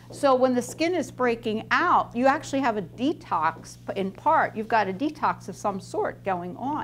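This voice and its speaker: There is light background noise. A woman speaks at a fairly slow pace. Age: 60s. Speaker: nutritionist; skin care educator. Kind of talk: talk to students. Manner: animated.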